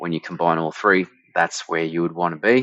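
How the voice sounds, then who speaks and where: Against a quiet background, a man with an Australian accent speaks in a very deep, low pitch, and the sound is dry with no echo. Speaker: marketing director; presenter. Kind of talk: tutorial. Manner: casual, with frequent fillers and restarts. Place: home room.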